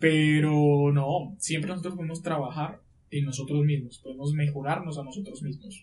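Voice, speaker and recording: Somewhat breathy male voice, fairly high in pitch, with fairly even intonation at a moderate pace. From Colombia, La Guajira. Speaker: lawyer. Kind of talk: podcast interview.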